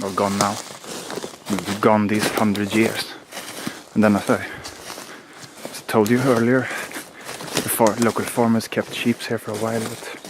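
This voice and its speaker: At a fairly slow pace with long, frequent pauses, a man speaks in a fairly low, monotone, flat voice over noticeable background noise. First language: Swedish. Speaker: outdoor vlogger. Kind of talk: walking vlog narration.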